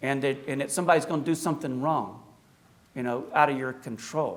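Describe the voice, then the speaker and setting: In a slight Appalachian accent, a man speaks with audible room echo. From US South, South Carolina and Appalachia. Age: 60s. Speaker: Orthodox priest, guest speaker. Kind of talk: public lecture. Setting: church hall with audience. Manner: conversational.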